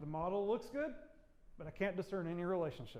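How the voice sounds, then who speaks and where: A man talks at a fairly quick pace with a high pitch. Audible room echo surrounds his voice. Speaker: university lecturer. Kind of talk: lecture. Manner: fast.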